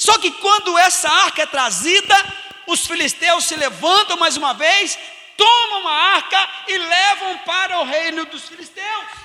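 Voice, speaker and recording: A man with an extremely high pitch talks in a raised, projected voice at a fairly slow pace. His tone is animated, and there is noticeable background noise. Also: ordinary pitch variation. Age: 50s. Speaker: pastor. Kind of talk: sermon. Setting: church.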